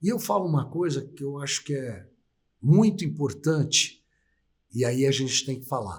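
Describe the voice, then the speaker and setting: His voice is fairly high for a man and somewhat breathy, with lively intonation. He keeps a moderate pace broken by long, frequent pauses. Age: 60s. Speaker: auctioneer. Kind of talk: interview. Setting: live stream.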